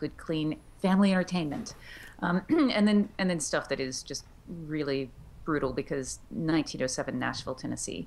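Speaking with vocal fry, a woman has a very deep, low pitch and ordinary pitch variation. Her pace is moderate, with light background noise. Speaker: author, puppeteer and audiobook narrator. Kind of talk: interview answer. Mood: friendly, animated. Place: home room. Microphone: video call.

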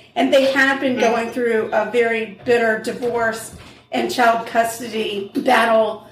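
A woman speaks at a fairly slow pace with a fairly high pitch and fairly even intonation. Noticeable background noise can be heard. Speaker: true crime podcast co-host. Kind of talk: casual chat, true crime storytelling. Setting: home kitchen.

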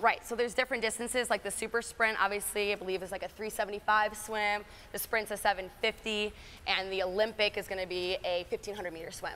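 A woman at a fairly quick pace, monotone and flat, with light background noise. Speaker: endurance coach. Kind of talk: interview answer. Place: gym. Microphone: lapel.

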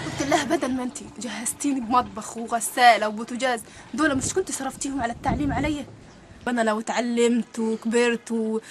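Over noticeable background noise, a woman talks at a moderate pace in a high pitch with ordinary pitch variation. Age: 20s. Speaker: divorced mother. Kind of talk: interview answer.

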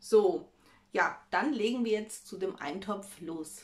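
A woman is talking. Her pace is fairly slow. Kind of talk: casual cooking vlog chat. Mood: cheerful, chatty. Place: kitchen. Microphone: phone near.

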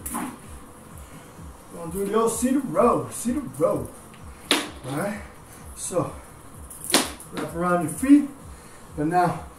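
Music plays in the background while a man talks. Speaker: fitness instructor. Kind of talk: live-cued bodyweight and dumbbell workout class instruction, counting reps. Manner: upbeat, steady motivating tone, doubling each phrase. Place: home room. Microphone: camera far.

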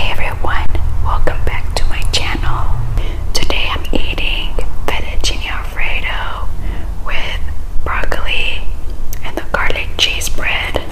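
A woman whispering at a fairly slow pace with long, frequent pauses. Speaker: ASMR eating creator. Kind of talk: ASMR eating video talk. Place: kitchen. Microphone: phone near.

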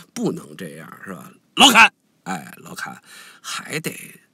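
A man talks at a fairly slow pace in a bright, sharp tone. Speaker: online commentator. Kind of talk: casual monologue commentary. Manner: good-humored, smiling.

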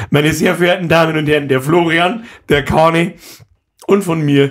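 Against a quiet background, a man speaks at a fairly high pitch and moderate pace with ordinary pitch variation. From Bavaria. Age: 30s. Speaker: podcast host. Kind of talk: casual chat. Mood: joking, animated. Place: studio. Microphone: studio mic.

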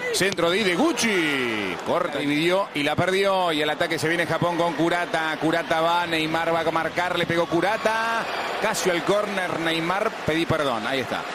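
There is noticeable background noise as a man talks in a high pitch. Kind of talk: live sports commentary. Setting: broadcast booth at stadium. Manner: fast, excitable play-by-play delivery with rising intensity at chances and goals; clipped, breathless staccato phrases.

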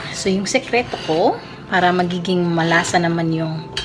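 A woman talks with fairly even intonation while faint music plays in the background. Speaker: cooking vlogger. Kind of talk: casual vlog chat. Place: kitchen. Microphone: phone near.

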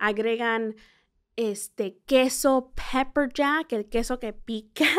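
A woman's high-pitched voice with a non-native accent at a very slow pace, on a very clean recording with a silent background. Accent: Spanish slightly rusty, may mispronounce. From central California and small-town Texas, Mexican parents. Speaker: tourism communications director and podcast host. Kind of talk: informal travel guide explanation.

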